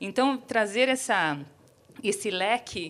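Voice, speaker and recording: A woman talks with a São Paulo accent. The recording is very clean, with a silent background. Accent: São Paulo (paulistano). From São Paulo city, Brazil. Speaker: economist and urbanism professor, panel speaker. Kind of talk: keynote talk. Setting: theater stage with audience. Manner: hesitant fillers.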